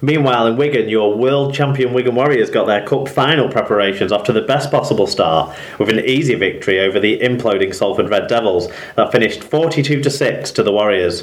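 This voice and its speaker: A man speaks with an English accent, barely pausing, his pitch varying in an ordinary way. His loudness stays very even over noticeable background noise. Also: medium pitch for a man. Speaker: rugby league podcaster. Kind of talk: scripted sports news roundup.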